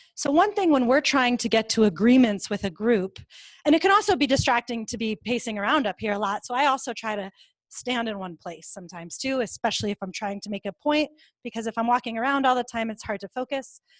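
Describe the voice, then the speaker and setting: A woman's fairly high voice at a very fast pace with ordinary pitch variation, the sound dry and close with no echo. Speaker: conflict resolution trainer. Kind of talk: live training workshop.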